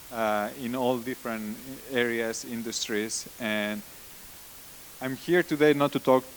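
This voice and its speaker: This is a man speaking with a Spanish accent. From Spain. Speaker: conference speaker, data science team lead. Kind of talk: conference talk. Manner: halting, frequent repetitions and fillers.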